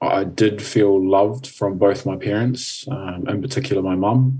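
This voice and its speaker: A man speaks in a calm tone with a fairly low pitch. His pitch varies in an ordinary way. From New Zealand, Napier. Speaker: life coach and mentor. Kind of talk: interview.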